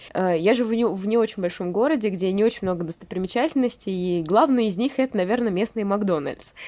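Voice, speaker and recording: Over noticeable background noise, a woman speaks at a medium pitch. Her pace is fairly quick, with hardly any pauses. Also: ordinary pitch variation. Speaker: podcast co-host. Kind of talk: casual chat. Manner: sad-sounding.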